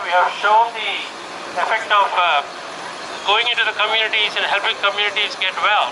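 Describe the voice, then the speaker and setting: A man's high-pitched voice at a fairly quick pace, with audible room echo and noticeable background noise. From India. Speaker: doctor. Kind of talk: political rally speech. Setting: outdoors.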